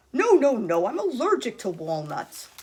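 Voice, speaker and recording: This is a put-on character voice with a fairly high pitch. It moves at a moderate pace with very wide pitch swings. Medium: read story. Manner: grumbling, curt.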